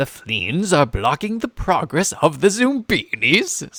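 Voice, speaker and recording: A man's put-on character voice, high in pitch with very wide pitch swings, at a fairly slow pace. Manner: narrator impression.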